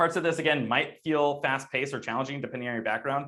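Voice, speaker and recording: A man speaks at a very fast pace in a medium-pitched, bright, sharp voice with fairly even intonation. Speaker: machine learning developer evangelist, workshop instructor. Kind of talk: online workshop presentation. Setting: live online workshop.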